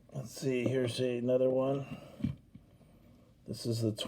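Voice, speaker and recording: A man with a medium pitch speaks at a fairly slow pace over noticeable background noise. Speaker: die-cast toy collector YouTuber. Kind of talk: casual unboxing commentary. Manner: hesitant, many fillers.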